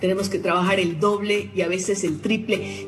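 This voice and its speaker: Music plays in the background with audible room echo. A woman speaks at medium pitch and a fairly quick pace. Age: 60s. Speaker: former politician and educator. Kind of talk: panel discussion. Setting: studio.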